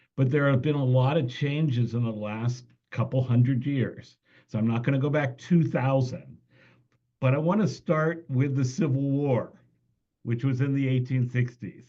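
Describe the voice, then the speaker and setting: With a dark, mellow, somewhat breathy tone, a man talks at a moderate pace, his intonation fairly even and his loudness very even. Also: medium pitch for a man. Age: 60s. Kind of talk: training presentation.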